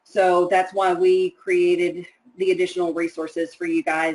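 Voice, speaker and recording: A woman with an American accent talks in an unremarkable speaking voice at a medium pitch and moderate pace with ordinary pitch variation. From Texas. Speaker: publisher representative moderating a teacher webinar. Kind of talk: webinar Q&A.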